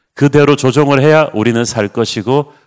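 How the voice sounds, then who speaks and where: A man talks at a moderate pace in a flat monotone. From South Korea, Busan. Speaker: pastor. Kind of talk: sermon. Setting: online livestream.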